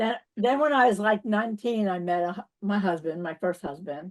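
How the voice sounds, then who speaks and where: The speaker has a strong New York accent and ordinary pitch variation. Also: woman. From New York City. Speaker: spiritual teacher. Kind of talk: interview.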